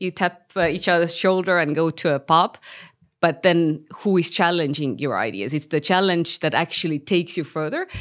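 Heard in a very clean recording with a silent background, a normal speaking voice proceeds at a moderate pace with ordinary pitch variation. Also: woman, fairly low pitch for a woman. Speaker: startup founder and CEO. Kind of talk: interview conversation.

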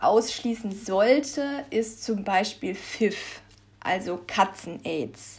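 A woman with a somewhat breathy, fairly high voice talks very slowly with lively intonation. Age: 20s. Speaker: pet podcast host. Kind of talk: solo podcast monologue.

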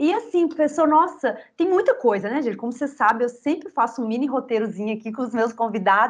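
High in pitch, a woman's voice rises and falls with lively intonation. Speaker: podcast host, cultural heritage communicator. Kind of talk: casual interview.

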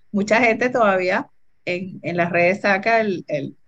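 A woman has a plain, everyday voice at a medium pitch. She talks at a moderate pace with fairly even intonation. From Venezuela. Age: 60s. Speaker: entrepreneur and computer scientist. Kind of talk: interview.

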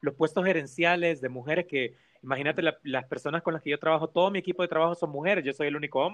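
Talking very fast, a man keeps a fairly high pitch and fairly even intonation. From El Salvador. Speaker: organizational communication professional. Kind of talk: casual interview.

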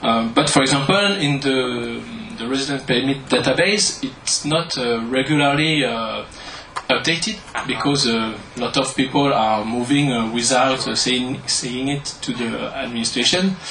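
The man has a French accent and a medium pitch. Audible room echo and noticeable background noise surround his voice. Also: ordinary pitch variation, fairly slow pace. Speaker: statistician. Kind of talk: audience question. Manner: halting.

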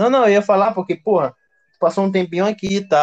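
This man's high-pitched voice comes through with a dry, close sound and no echo. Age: 20s. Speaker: podcast host. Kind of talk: casual chat.

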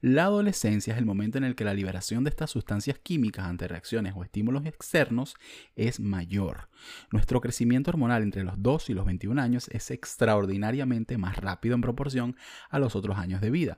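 In a very clean recording with a silent background, a man with a Venezuelan accent speaks at a fairly quick pace with an animated tone, a medium pitch, and ordinary pitch variation. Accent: Venezuelan, drops the s sounds. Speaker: podcast host. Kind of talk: casual monologue.

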